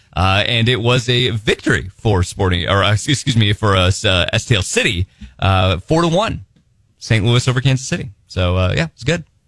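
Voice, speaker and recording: A man speaks in a normal speaking voice at a fairly low pitch and a moderate pace, with lively intonation and a dry, close sound with no echo. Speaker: radio host. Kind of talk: casual radio banter. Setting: studio.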